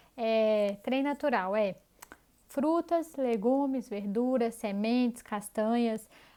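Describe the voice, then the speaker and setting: At a very slow pace, a woman with a strong Minas Gerais accent speaks in a dark, mellow tone, her pitch fairly high with ordinary variation. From Brazil, Minas Gerais. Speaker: health and diet coach. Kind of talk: online course lesson. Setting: pre-recorded video. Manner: conversational.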